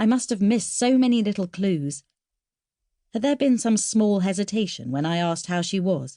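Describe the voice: A woman speaks at a medium pitch with lively intonation and a dark, mellow tone. The recording is very clean, and the background is silent.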